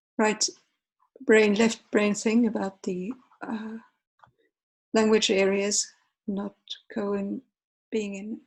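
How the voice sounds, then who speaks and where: Somewhat breathy, with a Finnish accent, the speaker goes at a very slow pace with long, frequent pauses and fairly even intonation. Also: woman, fairly high pitch for a woman. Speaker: art lecturer. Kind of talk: lecture. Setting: online lecture with screen share. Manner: halting with pauses.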